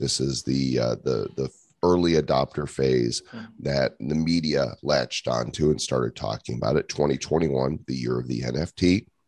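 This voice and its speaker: A man with an American accent speaks at a moderate pace, his pitch varying in an ordinary way and his voice showing vocal fry. The sound is dry and close, with no echo. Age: 50s. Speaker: entrepreneur and author. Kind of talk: casual interview chat.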